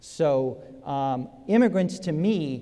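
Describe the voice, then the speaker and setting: This man's voice is fairly high in pitch with a dark, mellow tone. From South Africa. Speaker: state senator, political candidate. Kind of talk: political debate. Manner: halting, many fillers.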